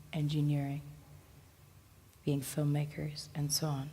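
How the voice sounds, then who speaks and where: A somewhat breathy, dark and mellow voice at a fairly slow pace, flat and monotone in intonation, with audible room echo. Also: woman. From Sierra Leone. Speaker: speaker at a talk event. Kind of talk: public talk. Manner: formal.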